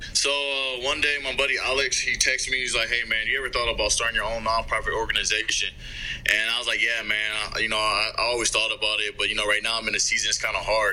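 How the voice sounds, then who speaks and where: The man talks at a very fast pace, his loudness very even. Noticeable background noise is present. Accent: American. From US Midwest (Alliance, Ohio). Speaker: pro football player. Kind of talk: casual interview. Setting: video call.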